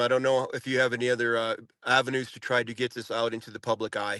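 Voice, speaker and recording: With a bright, sharp tone, a man speaks at a fairly quick pace and with fairly even intonation, the sound dry and close with no echo. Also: quiet background. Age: 60s. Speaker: former prisoner. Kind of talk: interview. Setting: podcast.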